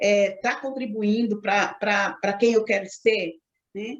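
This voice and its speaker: A woman speaking at a fairly slow pace. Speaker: leadership coach. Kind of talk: lecture. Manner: halting.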